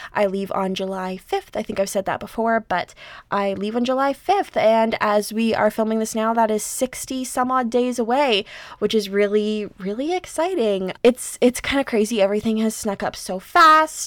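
An unremarkable speaking voice from a woman, fairly high in pitch with ordinary variation, at a moderate pace, in a very clean recording with a silent background. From Canada. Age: 20s. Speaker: podcast host. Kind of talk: casual solo monologue.

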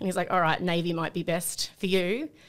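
A woman speaks very fast at a fairly low pitch in an Australian accent. The recording is very clean, with a silent background. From Sydney, Australia. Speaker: company employee, former navy member. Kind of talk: casual chat.

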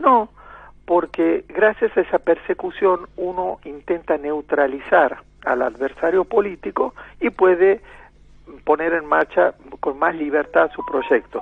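A man with a Santiago del Estero accent, at a very slow pace. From Argentina, Santiago del Estero (La Banda). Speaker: ambassador. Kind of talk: radio interview.

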